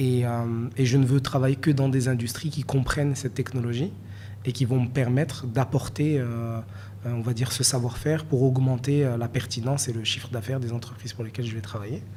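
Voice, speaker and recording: Over noticeable background noise, a man with a Moroccan accent speaks at a fairly quick pace, his medium pitch held in fairly even intonation. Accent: francophone Moroccan. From Morocco, Marrakech. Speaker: NFT collector and investor. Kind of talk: interview. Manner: hesitant, many fillers.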